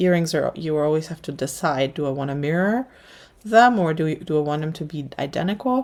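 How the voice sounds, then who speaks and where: A woman speaks with a slight German accent in a very deep, low voice. Her pace is fairly quick and her intonation lively. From Germany. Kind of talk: livestream craft tutorial chat. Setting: livestream at work table. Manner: casual, hesitant with fillers.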